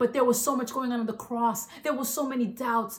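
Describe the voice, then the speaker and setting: A woman with a fairly high-pitched voice talks while noticeable background noise plays behind her. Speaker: preacher. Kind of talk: sermon. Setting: online church service. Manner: animated, emphatic preaching; repeats "listen" for emphasis, call-and-response style.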